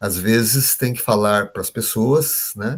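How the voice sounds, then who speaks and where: This is a man's voice. It sounds somewhat breathy. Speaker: trainer teaching behavioral profiles. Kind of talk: online workshop lecture.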